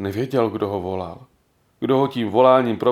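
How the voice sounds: This natural reading voice has ordinary pitch variation and comes over a quiet background.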